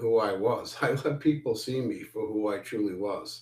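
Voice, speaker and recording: A man's somewhat breathy voice with an American accent, at a fairly slow pace. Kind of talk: casual, candid.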